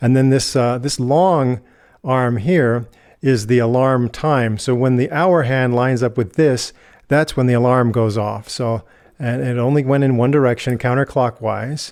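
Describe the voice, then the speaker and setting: An unremarkable speaking voice with an American accent moves at a fairly slow pace, with very even loudness and fairly even intonation, on a very clean recording with a silent background. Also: man, medium pitch for a man. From United States. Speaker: product reviewer. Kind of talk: tutorial. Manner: casual.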